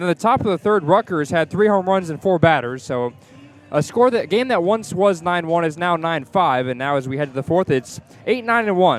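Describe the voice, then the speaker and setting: Over music in the background, a man speaks at a high pitch and a fairly quick pace. His tone is energetic, his intonation lively. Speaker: radio baseball play-by-play announcer. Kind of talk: live radio sports play-by-play. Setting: radio broadcast from a ballpark. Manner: fast, energetic.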